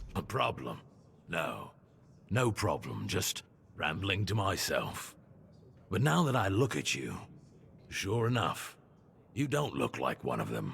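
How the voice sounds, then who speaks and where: Using a put-on character voice, a man rumbles at a fairly low pitch. He goes at a fairly slow pace, with long, frequent pauses. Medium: video game. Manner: grumbling, rambling.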